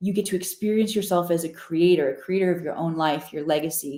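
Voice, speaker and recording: A woman's dark, mellow tone with an American accent. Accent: slight Missouri twang that comes out at times. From Missouri, US. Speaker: spiritual teacher. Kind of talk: live stream teaching. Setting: live stream. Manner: animated.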